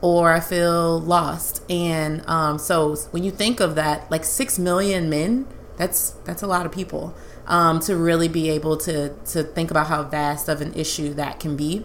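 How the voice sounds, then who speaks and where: A woman at a fairly slow pace, her intonation fairly even, with noticeable background noise. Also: fairly low pitch for a woman. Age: 30s. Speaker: podcast host, licensed counselor. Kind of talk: casual chat.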